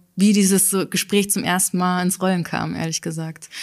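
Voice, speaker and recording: A woman with an ordinary speaking voice and fairly even intonation is heard on a very clean recording with a silent background. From Bavaria, Altötting area. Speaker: social media educator and podcaster. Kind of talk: casual interview. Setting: studio.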